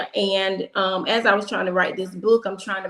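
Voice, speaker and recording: The intonation is monotone and flat. Noticeable background noise is present. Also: woman. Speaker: author and speaker. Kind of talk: testimony. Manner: halting.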